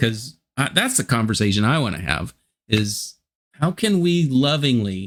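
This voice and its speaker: A man with an unremarkable speaking voice talks at a fairly slow pace in a medium pitch. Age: 60s. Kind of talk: casual interview chat.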